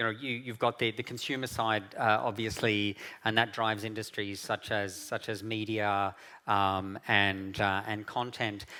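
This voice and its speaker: Heard on a very clean recording with a silent background, a speaker with an Australian accent talks at a moderate pace in a bright, sharp tone with fairly even intonation. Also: man. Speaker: keynote speaker from an international policy organization. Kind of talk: conference keynote talk. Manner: halting, many fillers and repetitions.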